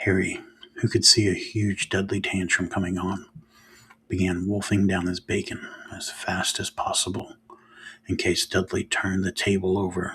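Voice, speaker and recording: A soft-spoken man whispering at a moderate pace, with long, frequent pauses. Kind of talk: ASMR soft-spoken book reading. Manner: soft-spoken, whispery.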